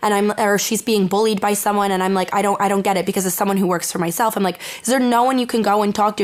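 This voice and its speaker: A woman with an American accent at a very fast pace, medium pitch, and noticeable background noise. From Eastern Connecticut. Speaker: mental health blogger. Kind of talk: podcast interview answer. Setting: studio.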